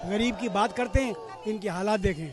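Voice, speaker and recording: A man with a high voice speaks over noticeable background noise. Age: 70s. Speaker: retired air force veteran. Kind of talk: street interview. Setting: outdoors at beach rally.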